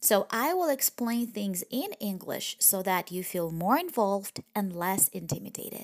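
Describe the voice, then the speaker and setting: In a Russian accent, a woman of medium pitch speaks at a moderate pace with lively intonation and hardly any pauses, her voice dry and close with no echo on a very clean recording with a silent background. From Russian Far East, near Vladivostok. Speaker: language teacher podcaster. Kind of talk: language lesson.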